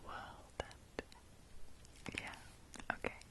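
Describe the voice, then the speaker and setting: Whispering, a woman speaks over noticeable background noise. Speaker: ASMR creator. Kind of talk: casual talk to camera, ASMR intro. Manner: whispered, soft-spoken, relaxing.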